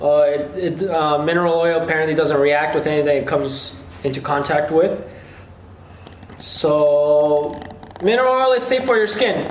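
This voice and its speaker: A man speaks with a fairly high pitch and very even loudness, over noticeable background noise and audible room echo. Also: lively intonation, moderate pace. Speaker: YouTuber. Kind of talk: casual Q&A video.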